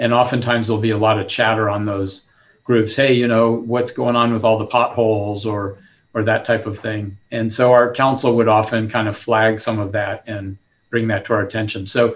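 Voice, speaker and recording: With monotone, flat intonation and a medium pitch, a man speaks at a moderate pace. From southern California. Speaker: city manager. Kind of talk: panel discussion.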